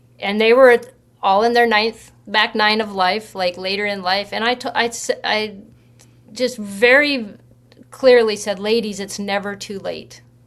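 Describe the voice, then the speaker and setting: A woman with an American accent and a plain, everyday voice talks at a moderate pace. Her pitch is medium, with ordinary variation. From US, northern Idaho. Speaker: pro golfer and author. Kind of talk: interview.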